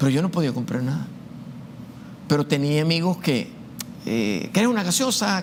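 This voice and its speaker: A man's fairly high voice swings very widely in pitch as he speaks at a moderate pace. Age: 60s. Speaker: university math professor. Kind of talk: testimony. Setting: show interview. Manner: hesitant, frequent fillers and repetitions.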